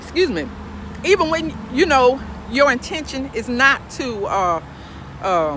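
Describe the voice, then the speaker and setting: Over noticeable background noise, a woman speaks fairly slowly in a raised, projected, high-pitched voice, with an animated tone and very wide pitch swings. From US, urban projects. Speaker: podcast host giving spiritual advice. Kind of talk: casual monologue, preachy. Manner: animated, repetitive fillers.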